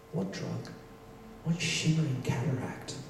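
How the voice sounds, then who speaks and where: A man speaks at a very slow pace with fairly even intonation, light background noise and audible room echo. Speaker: poet performer. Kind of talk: poetry reading. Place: stage.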